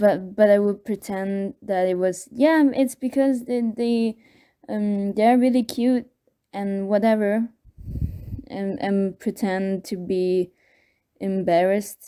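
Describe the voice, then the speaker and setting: A woman with a non-native accent, medium-pitched, dark and mellow in tone, with ordinary pitch variation, a very slow pace broken by long, frequent pauses, on a very clean recording with a silent background. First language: not English. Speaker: video contributor sharing personal experience. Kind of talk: personal testimony. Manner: halting, many fillers and repeats.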